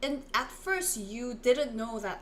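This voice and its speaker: Speaking very slowly with a Korean accent, a woman is recorded with audible room echo and noticeable background noise. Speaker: Korean language teacher. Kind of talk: live online language lesson.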